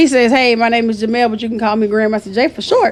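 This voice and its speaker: Over noticeable background noise, a woman with a Southern accent talks at a very fast pace in an animated tone with fairly high pitch. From US South. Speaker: business founder. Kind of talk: interview storytelling.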